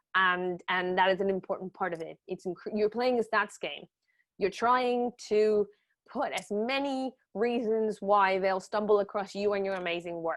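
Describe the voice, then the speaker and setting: A woman's medium-pitched voice at a moderate pace, with ordinary pitch variation and a quiet background. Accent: non-native. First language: not English. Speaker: journalism trainer. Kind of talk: webinar lecture. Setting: online webinar. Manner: casual, lively.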